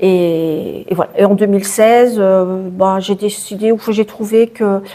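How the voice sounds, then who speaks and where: With very even loudness and a flat, monotone delivery, a woman speaks at a medium pitch and a very slow pace over noticeable background noise. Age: 60s. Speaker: charity founder, cancer survivor. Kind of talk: interview. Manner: hesitant, repeats words.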